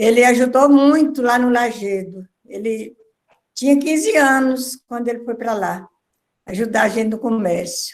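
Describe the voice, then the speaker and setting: High pitch from a woman, a fairly slow pace and ordinary pitch variation. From northern Minas Gerais, Brazil. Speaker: writer, author. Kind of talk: video call conversation. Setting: video conference.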